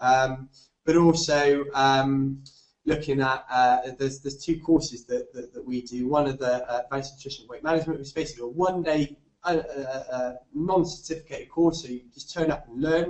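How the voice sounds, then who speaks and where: In a Bristolian accent, the speaker talks at a fairly quick pace with fairly even intonation and big swings in loudness. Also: man, fairly high pitch for a man. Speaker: fitness nutrition tutor. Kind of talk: webinar lecture. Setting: online webinar. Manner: halting, many fillers and repetitions; casual.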